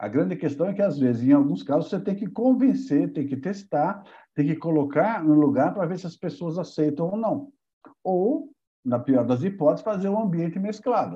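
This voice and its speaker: Against a quiet background, a man speaks at a moderate pace in a high pitch. His tone is dark and mellow, with lively intonation. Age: 60s. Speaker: company co-founder, building management. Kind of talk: interview.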